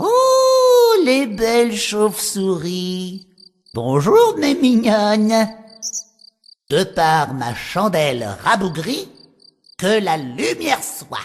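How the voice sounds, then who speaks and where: Someone uses a put-on character voice, speaking very slowly with long, frequent pauses. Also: woman, medium pitch for a woman. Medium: read story. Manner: theatrical, incantatory.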